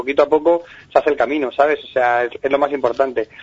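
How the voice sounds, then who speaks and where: A man talks very fast. His pitch sits fairly high. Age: 40s. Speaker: comedian. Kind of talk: interview.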